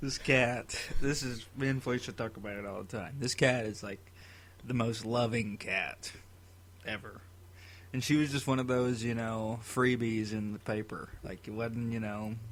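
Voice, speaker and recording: A man speaks at a moderate pace with medium pitch. His intonation stays fairly even. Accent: Tennessee. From Tennessee. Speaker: podcast co-host. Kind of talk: casual chat.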